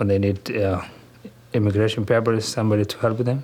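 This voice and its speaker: The speech comes at a fairly quick pace in a Somali accent. Its intonation stays fairly even. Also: man. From southern Somalia, Kismayo. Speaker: grocery store owner and community leader. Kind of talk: interview. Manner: halting.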